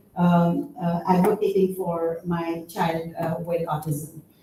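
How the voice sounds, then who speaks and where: Audible room echo surrounds a woman's voice. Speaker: university researcher. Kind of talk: conference presentation. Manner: halting, many fillers.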